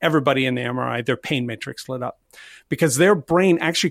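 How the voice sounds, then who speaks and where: A man with a plain, everyday voice, fairly high in pitch, at a fairly quick pace, in a dry, close sound with no echo. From Canada, Nova Scotia (Halifax). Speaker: volunteering consultant, company co-founder. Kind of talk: interview.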